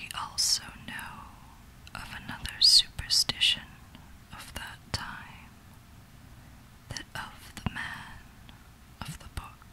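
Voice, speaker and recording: Over noticeable background noise, a whispering voice moves at a very slow pace with long, frequent pauses. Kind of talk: whispered literary story reading for relaxation. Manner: whispered.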